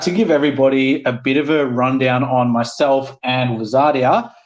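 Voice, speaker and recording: Fairly high-pitched for a man, this Australian-accented male voice carries an enthusiastic tone. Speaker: guest from a gaming project. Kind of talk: live audio panel chat. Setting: Twitter Spaces audio room.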